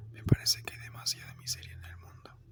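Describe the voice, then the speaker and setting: Noticeable background noise fills the clip. Beneath it, the speech is whispered. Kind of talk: whispered ASMR philosophy narration. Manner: whispered, soft.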